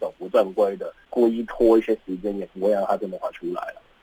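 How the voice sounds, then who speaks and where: With music playing in the background, a man talks at a fairly quick pace in a dry, close sound with no echo. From Hong Kong. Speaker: graduate student. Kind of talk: radio interview. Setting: studio.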